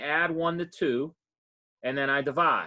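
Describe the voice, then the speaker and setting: Here is a man with an unremarkable speaking voice. He talks at a fairly high pitch with fairly even intonation. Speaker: math professor. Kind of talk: lecture.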